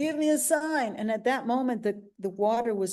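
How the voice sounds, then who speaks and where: Talking at a fairly quick pace, a woman with a Brazilian Portuguese accent uses lively intonation. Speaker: psychotherapist and spiritual teacher. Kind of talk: casual interview conversation. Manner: animated.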